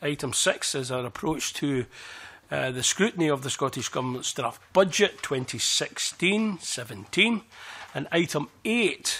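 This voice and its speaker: A man's bright, sharp voice, fairly slow in pace, with lively intonation. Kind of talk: formal meeting chairing. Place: meeting room. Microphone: podium.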